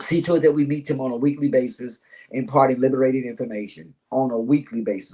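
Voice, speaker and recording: A man with an American accent talks at a very fast pace, his medium-pitched voice dark and mellow in tone. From Chicago, south side. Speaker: mentor and author. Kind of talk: podcast interview. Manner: animated.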